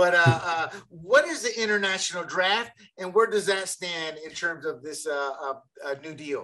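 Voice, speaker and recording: Speaking at a fairly slow pace, a man uses a raised, projected voice, high in pitch with ordinary pitch variation. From Panama. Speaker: co-host.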